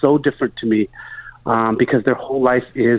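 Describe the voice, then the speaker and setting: This man has a plain, everyday voice, medium in pitch, and talks at a fairly quick pace. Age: 40s. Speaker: travel company founder and author. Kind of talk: phone interview. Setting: phone call.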